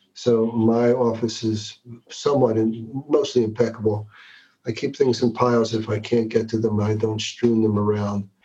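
A man talks in a somewhat breathy voice with a dark, mellow tone and medium pitch. His intonation is monotone and flat, and his pace moderate. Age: 60s. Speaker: executive coach. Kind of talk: interview conversation.

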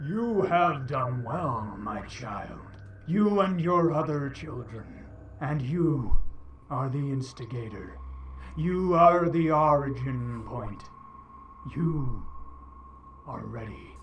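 Over clear background noise, a man uses a put-on character voice, fairly high-pitched, speaking very slowly with long, frequent pauses. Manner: psychic voice heard in the head.

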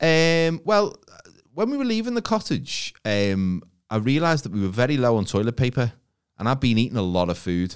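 A man with an English accent, medium pitch, very wide pitch swings and an animated tone at a moderate pace, on a very clean recording with a silent background. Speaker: podcast co-host. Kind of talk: casual chat.

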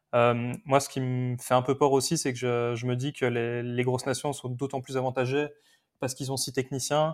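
Intonation is monotone and flat. The man speaks at a fairly quick pace. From Belgium. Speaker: retired Olympic biathlete, pundit. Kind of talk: casual chat.

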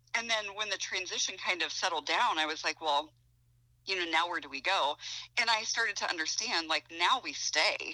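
A woman with a Midwestern US accent talks at a medium pitch in a bright, sharp tone, with ordinary pitch variation. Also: moderate pace. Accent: US Midwest. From Ohio. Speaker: author. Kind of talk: casual chat.

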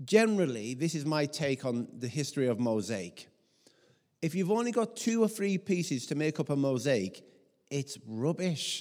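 Pitched fairly high, a man talks at a moderate pace with very wide pitch swings. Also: very clean recording, silent background. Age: 40s. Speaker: pastor. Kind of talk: sermon.

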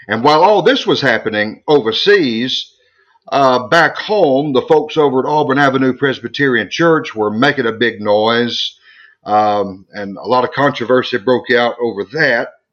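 Medium-pitched male voice, moderate in pace, with lively intonation. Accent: Southern US. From US South, South Arkansas Delta. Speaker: theologian and author. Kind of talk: interview.

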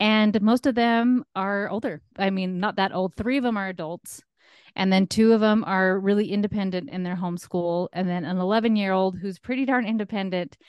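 With a normal speaking voice, a woman talks at a moderate pace and medium pitch, her pitch varying in an ordinary way, in a dry, close sound with no echo against a quiet background. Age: 40s. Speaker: life coach. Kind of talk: interview.

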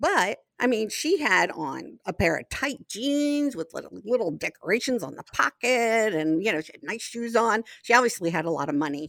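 A woman with a fairly high pitch and vocal fry talks at a moderate pace with hardly any pauses, her pitch swinging very widely and her loudness rising and falling sharply. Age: 60s. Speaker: host's mother, guest. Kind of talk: casual chat.

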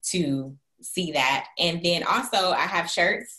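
With an American accent, a woman talks at a fairly slow pace with ordinary pitch variation in an ordinary speaking voice. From Florida, US South. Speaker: faith-based coach and entrepreneur. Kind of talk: casual interview chat.

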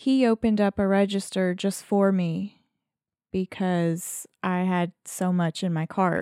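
A woman with a Southern US accent speaks at a very slow pace in a medium pitch, her dark, mellow tone and fairly even intonation captured in a very clean, dry, close recording with a silent background and no echo. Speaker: podcast co-host. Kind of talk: casual chat. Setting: studio. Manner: low energy.

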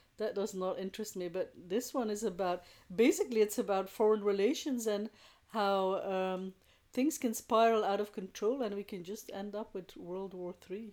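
Heard on a very clean recording with a silent background, a woman talks at a moderate pace in a medium pitch with ordinary pitch variation, an ordinary speaking voice. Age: 40s. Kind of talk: casual chat.

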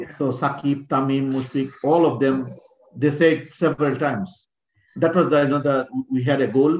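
The speaker talks at a moderate pace in a Bengali accent with fairly even intonation. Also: man, fairly high pitch for a man. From Bangladesh, Mymensingh. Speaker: former cricketer and coach. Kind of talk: interview.

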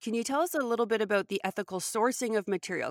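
With a Canadian accent, a woman speaks in a fairly high pitch with ordinary pitch variation, the sound dry and close with no echo. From Canada. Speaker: podcast host. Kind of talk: interview. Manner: animated.

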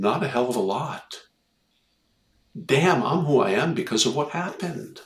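With vocal fry and a fairly high pitch, a man speaks at a moderate pace, his pitch swinging very widely between long, frequent pauses. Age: 60s. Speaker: dentist and life coach. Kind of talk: interview.

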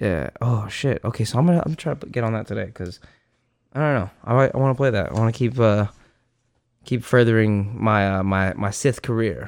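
A man with medium pitch talks at a fairly quick pace with ordinary pitch variation, in a plain, everyday voice. The recording is very clean, with a silent background. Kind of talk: casual banter, gaming chat. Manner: crude, joking.

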